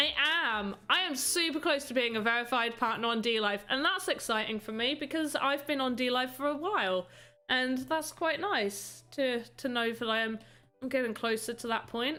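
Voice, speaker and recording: A woman talks at a moderate pace in a high pitch, her tone bright and sharp and her intonation lively. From UK. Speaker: streamer, voxel artist. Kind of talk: casual live stream chat. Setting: live stream.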